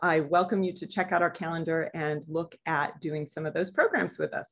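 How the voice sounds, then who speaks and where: Moderate pace from a woman. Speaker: museum educator. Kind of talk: lecture. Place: office. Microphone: webcam.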